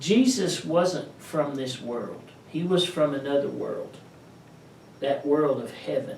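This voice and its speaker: With a slight East Tennessee accent, a man talks in a fairly high pitch with lively intonation, over noticeable background noise and audible room echo. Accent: slight East Tennessee Southern. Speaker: pastor. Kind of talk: sermon. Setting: pastor's office.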